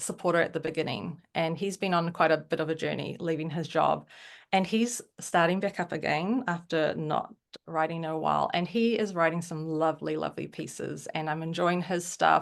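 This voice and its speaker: In a New Zealand accent, a woman speaks at a moderate pace with a fairly low pitch and fairly even intonation. Her voice has vocal fry against a quiet background. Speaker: writer on a newsletter platform. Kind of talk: interview conversation.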